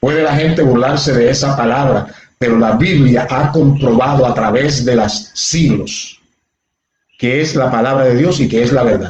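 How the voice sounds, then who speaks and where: A man with an unremarkable speaking voice, medium in pitch, at a moderate pace. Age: 60s. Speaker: pastor. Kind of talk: sermon. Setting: livestream on social media.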